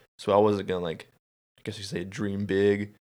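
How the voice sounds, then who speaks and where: A man with a Southern US accent speaks at a fairly low pitch in a monotone, flat way, in a very clean recording with a silent background. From Alabama, Birmingham area. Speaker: podcast co-host, warehouse worker. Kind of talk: casual chat.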